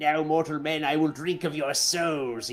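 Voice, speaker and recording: A man puts on a character voice at a fairly high pitch, with a hissing quality, a moderate pace and clear background noise. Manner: hissing, menacing.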